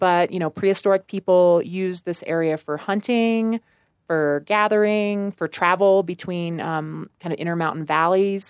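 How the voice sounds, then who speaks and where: Her pitch medium and intonation fairly even, a woman with an American accent speaks at a moderate pace. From US Midwest, rural west central Missouri. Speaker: park ranger. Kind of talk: interview.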